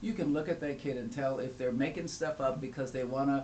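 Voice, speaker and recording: Over noticeable background noise and audible room echo, a man speaks at a moderate pace in an animated tone with a fairly high pitch. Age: 70s. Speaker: family law attorney. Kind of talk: panel discussion.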